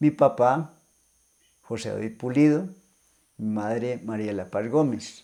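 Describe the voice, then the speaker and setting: A man with a dark, mellow tone and medium pitch talks at a very slow pace with ordinary pitch variation. The recording is very clean, with a silent background. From Colombia, northern Valle del Cauca. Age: 70s. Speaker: deacon. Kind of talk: testimony.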